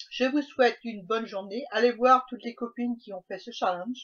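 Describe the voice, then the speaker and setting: A woman with a fairly high pitch, a moderate pace, and big swings in loudness. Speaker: craft youtuber. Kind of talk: craft tutorial. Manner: hesitant, many fillers.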